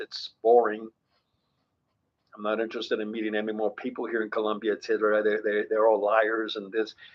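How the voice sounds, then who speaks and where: A man speaks with an American accent. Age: 70s. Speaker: vlogger, father addressing his sons. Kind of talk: personal monologue video. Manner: halting, repetitive.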